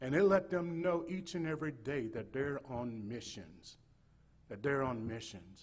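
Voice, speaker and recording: Amid audible room echo, a somewhat breathy voice in a Southern US accent moves at a fairly slow pace with lively intonation. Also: man. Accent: Southern US (Georgia). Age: 60s. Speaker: state missionary. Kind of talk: sermon. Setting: church. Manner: halting, repetitive.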